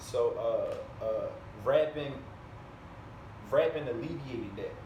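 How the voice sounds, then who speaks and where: A man speaking at a very slow pace amid noticeable background noise and audible room echo. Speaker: rapper and educator. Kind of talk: interview. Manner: halting, frequent repetitions.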